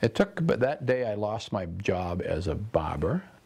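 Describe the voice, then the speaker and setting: A man with an American accent. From Maine, US. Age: 60s. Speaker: storyteller. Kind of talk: interview talk.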